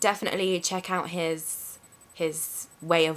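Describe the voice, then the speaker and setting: A woman speaks in a London accent. Her pitch is very deep and low. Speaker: vlogger. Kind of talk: casual talk to camera.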